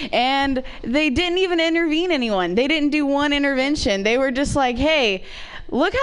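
High-pitched woman with an American accent at a moderate pace, with audible room echo. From Ohio, small town. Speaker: comedian. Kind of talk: stand-up.

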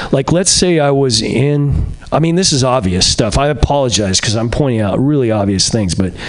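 A man's fairly quick, lively delivery over noticeable background noise. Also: medium pitch for a man, very even loudness. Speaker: comedian. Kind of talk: stand-up. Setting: stage with audience. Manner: halting.

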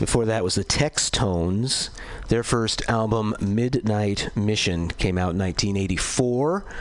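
Over noticeable background noise, a man with a fairly low pitch speaks very slowly, keeping very even loudness and ordinary pitch variation. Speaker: radio DJ. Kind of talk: radio music announcing.

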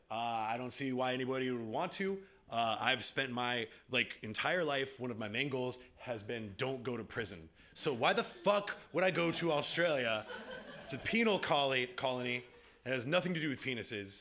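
A man of medium pitch with an American accent speaks at a moderate pace with lively intonation, with noticeable background noise behind him. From US West Coast. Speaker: comedian and improv host. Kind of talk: stand-up. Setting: stage with audience.

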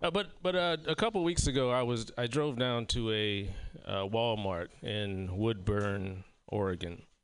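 A man with a Southern US accent, medium in pitch and fairly slow, with lively intonation, very even loudness and a quiet background. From South Carolina. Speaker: comedian. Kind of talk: stand-up. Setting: stage with audience.

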